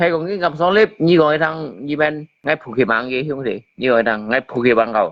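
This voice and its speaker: A man with a fairly high pitch and lively intonation, at a fairly quick pace. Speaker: live streamer. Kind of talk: heated debate. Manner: animated.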